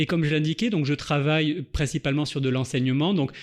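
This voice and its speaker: Over a quiet background, a man with a fairly high voice talks at a fairly quick pace with ordinary pitch variation. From southeastern France. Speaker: linguistics researcher. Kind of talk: podcast interview. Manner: measured, explanatory.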